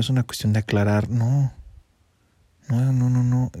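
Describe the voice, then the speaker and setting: Quiet, fairly quick speech from a man in a Mexican accent, dark and mellow in tone, with monotone, flat intonation. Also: very clean recording, silent background. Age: 20s. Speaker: podcaster. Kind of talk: personal monologue. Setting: at home under bedsheets. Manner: hushed, quiet.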